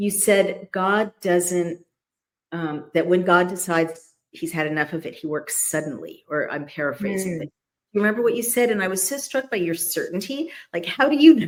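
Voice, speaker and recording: This woman has a normal speaking voice of medium pitch, talking at a moderate pace with lively intonation. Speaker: channel host and interviewer. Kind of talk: casual interview talk.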